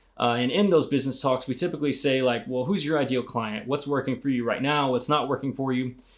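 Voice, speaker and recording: Fairly even intonation marks this man's speech, set at a medium pitch. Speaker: marketing agency CEO. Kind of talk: educational vlog talk. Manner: fast; casual with many filler words.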